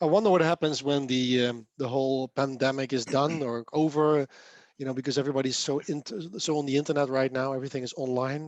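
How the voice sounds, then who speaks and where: A man in a Dutch accent at a very fast pace, fairly high pitch and fairly even intonation, against a quiet background. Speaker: software developer and speaker. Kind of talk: casual chat.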